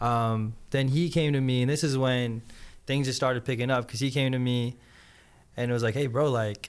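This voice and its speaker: A man with an American accent speaks at a moderate pace in an ordinary speaking voice. His pitch is medium and his intonation fairly even. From Las Vegas, US. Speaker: actor and filmmaker, studio founder. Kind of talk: casual podcast interview.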